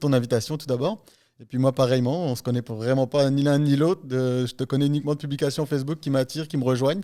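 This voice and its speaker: Speaking at a very fast pace, a man with a fairly high pitch and a dark, mellow tone keeps his intonation fairly even in a very clean recording with a silent background. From France. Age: 40s. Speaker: real estate investor, entrepreneur. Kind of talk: podcast interview. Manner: hesitant, many fillers.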